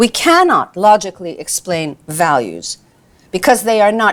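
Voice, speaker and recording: At a moderate pace, a woman speaks in a plain, everyday voice at medium pitch with lively intonation. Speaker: lecturer. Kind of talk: lecture.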